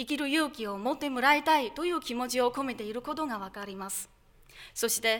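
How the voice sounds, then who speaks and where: A woman speaks with a Chinese accent at a high pitch and a fairly quick pace. Her loudness swings widely, while her pitch varies in an ordinary way. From China. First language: Chinese (speaking Japanese). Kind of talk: speech contest presentation. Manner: formal.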